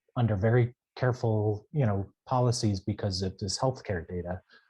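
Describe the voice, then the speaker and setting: A man speaks at a moderate pace with a dark, mellow tone and a somewhat breathy quality. The recording is very clean and the background silent. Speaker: data scientist with physics PhD. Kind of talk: panel talk on careers. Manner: halting, many fillers; unprepared, off the cuff.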